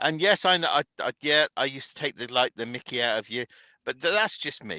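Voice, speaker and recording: A man with a British accent at a fairly quick pace, dry and close with no echo, over a quiet background. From Britain. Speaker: truck driver. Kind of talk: casual chat.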